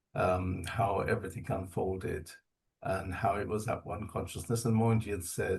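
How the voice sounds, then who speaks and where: The tone is calm and somewhat breathy, with fairly even intonation. The pace runs fairly quick. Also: man. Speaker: spiritual community member sharing experiences. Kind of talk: testimony.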